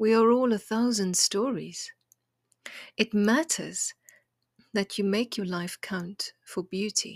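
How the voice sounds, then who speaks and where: Recorded very cleanly against a silent background, with a dry, close sound and no echo, a woman talks at a fairly slow pace and medium pitch in a warm, soothing, somewhat breathy tone with ordinary pitch variation. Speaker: poet and podcast host. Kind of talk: poetry reading, intimate and contemplative; gentle encouraging talk. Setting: home kitchen table. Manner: slow, hushed, tender and lyrical; warm, soothing, measured.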